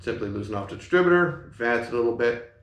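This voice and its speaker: A man at a medium pitch and fairly quick pace, lively intonation, and audible room echo. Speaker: car mechanic. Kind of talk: tutorial. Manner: fast.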